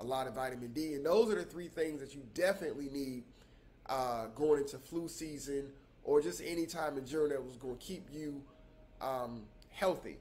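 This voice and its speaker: Talking at a fairly quick pace, a man with a fairly high voice and ordinary pitch variation swings widely in loudness amid audible room echo. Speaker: travel and remote career vlogger. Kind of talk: casual vlog talk. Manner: hesitant, many fillers and repetitions.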